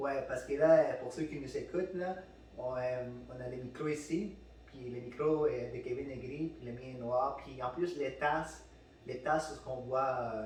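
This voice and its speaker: A man with a slight Spanish accent and a fairly high pitch speaks at a fairly slow pace with fairly even intonation, amid audible room echo and noticeable background noise. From Peru. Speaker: podcast host. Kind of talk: casual chat. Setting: studio with microphones. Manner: halting, many fillers and repeats.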